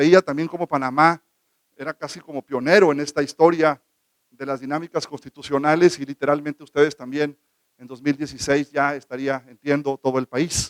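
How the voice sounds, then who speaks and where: A man's flat, monotone delivery at a moderate pace, with big jumps in loudness and a dry, close sound free of echo. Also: fairly high pitch for a man. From northern Mexico (Baja California). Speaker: government legal official. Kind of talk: conference talk.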